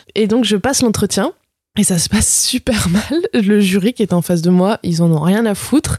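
This woman has a dark, mellow tone and a medium pitch, speaking at a moderate pace with very even loudness. The sound is dry and close, with no echo. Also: ordinary pitch variation. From France, Bourg-en-Bresse (Ain). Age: 20s. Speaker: motion designer. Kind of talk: casual chat.

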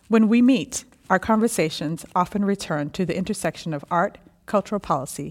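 With an American accent, a woman speaks at a fairly quick pace with ordinary pitch variation. Hers is an unremarkable speaking voice, on a very clean recording with a silent background. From Texas (Houston). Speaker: social anthropologist. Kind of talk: reading aloud a written dialogue.

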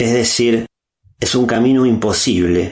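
A man's ordinary speaking voice at a fairly slow pace, with fairly even intonation. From Argentina. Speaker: philosopher and podcaster. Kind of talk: prepared monologue.

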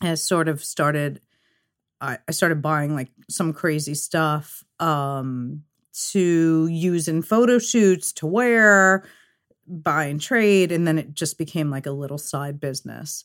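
Recorded very cleanly against a silent background, a woman with a New York accent speaks at a very slow pace in a very deep, low pitch with ordinary pitch variation. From New York, Queens and Long Island. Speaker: graffiti artist and fashion designer. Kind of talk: casual chat.

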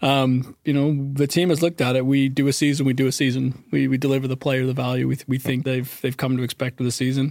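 At a very fast pace and with hardly any pauses, a man speaks at a medium pitch in a monotone, flat intonation. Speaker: video game producer. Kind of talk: casual podcast chat. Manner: halting, many repetitions and fillers.

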